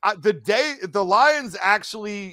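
In an American accent, a man speaks in a raised, projected voice with lively intonation. The recording is very clean, with a silent background. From US Midwest, Detroit metro area. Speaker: podcast host. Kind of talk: casual chat. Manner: loud.

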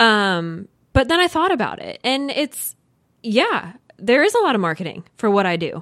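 Very wide pitch swings at a moderate pace. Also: woman, fairly high pitch for a woman. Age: 30s. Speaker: house flipper. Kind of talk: interview.

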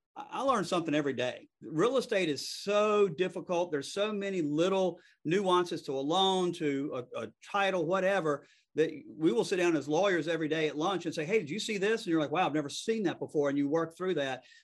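A speaker with a Southern accent talks at a fairly quick pace with ordinary pitch variation over a quiet background. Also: man, high pitch for a man. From US South. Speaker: real estate attorney and podcast host. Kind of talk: casual interview. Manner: fast.

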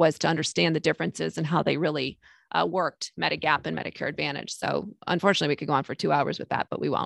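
With an American accent and vocal fry, a woman speaks at a very fast pace with lively intonation, the sound dry and close with no echo over a quiet background. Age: 50s. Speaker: Medicare insurance broker. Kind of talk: casual interview.

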